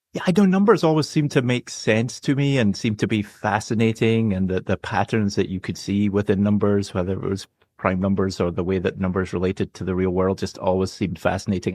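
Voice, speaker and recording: A man with a Scottish accent speaks at a fairly quick pace in a fairly low voice, the sound dry and close with no echo against a quiet background. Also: ordinary pitch variation, hardly any pauses. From Scotland, Glasgow, west coast. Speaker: medical professor and geneticist. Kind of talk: podcast interview.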